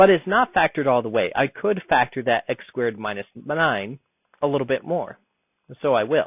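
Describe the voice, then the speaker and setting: With a plain, everyday voice, a man talks at a moderate pace, using lively intonation and a fairly high pitch. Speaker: math teacher. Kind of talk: tutorial.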